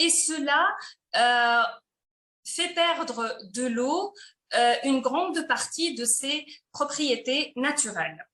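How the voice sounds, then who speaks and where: A woman with a high pitch and a bright, sharp tone speaks in a raised, projected voice at a very slow pace. Her pitch variation is ordinary, and she leaves long, frequent pauses. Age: 30s. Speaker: company presenter. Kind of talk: sales pitch. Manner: hesitant with fillers.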